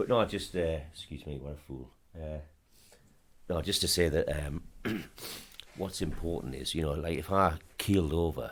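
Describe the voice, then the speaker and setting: Speaking at a moderate pace, a man with a very deep, low pitch and ordinary pitch variation leaves long, frequent pauses. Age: 60s. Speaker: football club chairman and businessman. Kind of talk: podcast interview. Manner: halting.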